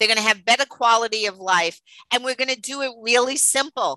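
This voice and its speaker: The voice has a bright, sharp tone and a New York accent. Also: woman, dry, close sound with no echo. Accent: New York accent, noticeable. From New York City (Queens). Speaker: dietitian, business owner. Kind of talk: interview, casual chat.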